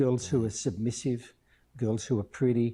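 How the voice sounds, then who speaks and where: With an Australian accent, a man speaks in a dark, mellow, somewhat breathy tone against a quiet background. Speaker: missions charity director. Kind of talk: interview.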